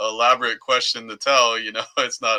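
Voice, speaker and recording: Bright and sharp in tone, a man at medium pitch speaks with a Southern Californian accent. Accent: Southern Californian American. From US, Southern California (Orange County). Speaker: podcast co-host and entertainment press reporter. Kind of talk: casual chat.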